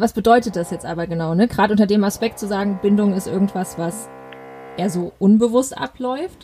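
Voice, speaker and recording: A woman with an unremarkable speaking voice talks at a fairly quick pace. Her pitch is medium, with ordinary pitch variation. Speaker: parenting podcast host. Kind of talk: interview.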